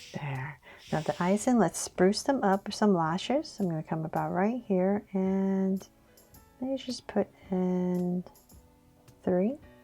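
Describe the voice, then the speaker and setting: A woman's medium-pitched voice with a calm, soothing tone and lively intonation, at a very slow pace with long, frequent pauses, music in the background. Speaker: drawing tutor. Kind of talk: step-by-step drawing tutorial narration.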